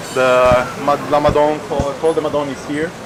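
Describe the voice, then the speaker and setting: A man speaks at a fairly slow pace with a fairly high pitch and monotone, flat intonation amid noticeable background noise. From southern Italy (Catanzaro). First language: Italian. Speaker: podcaster and cyclist. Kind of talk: casual vlog chat.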